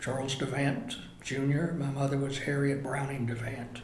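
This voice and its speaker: Over noticeable background noise and audible room echo, a man with a fairly high pitch speaks at a fairly slow pace. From North Carolina mountains (Blowing Rock). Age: 70s. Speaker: local resident interviewee. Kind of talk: oral history interview.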